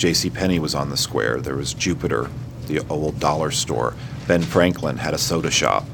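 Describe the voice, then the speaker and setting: Over noticeable background noise, a man with an American accent speaks at a moderate pace, his pitch very deep and low with ordinary variation. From Bloomington, Indiana (US Midwest). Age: 40s. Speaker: high school teacher. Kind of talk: interview.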